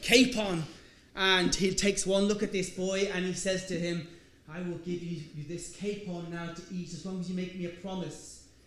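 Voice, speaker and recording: A man's high-pitched voice with a Donegal accent, monotone and flat, at a moderate pace, with audible room echo and noticeable background noise. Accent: Irish, Donegal. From Ireland, Donegal. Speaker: lecturer. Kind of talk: lecture.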